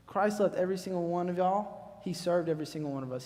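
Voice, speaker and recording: In a Southern US accent, a man talks at a very fast pace with a dark, mellow tone and ordinary pitch variation. Audible echo fills the room. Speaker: youth speaker. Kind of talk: sermon. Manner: loud; casual, conversational.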